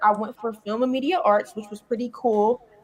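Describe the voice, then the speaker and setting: Speaking at a moderate pace, a woman with a Philadelphia accent has a fairly high pitch. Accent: Philadelphia American English. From Philadelphia, US. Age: 20s. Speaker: content creator and comedian. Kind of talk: interview.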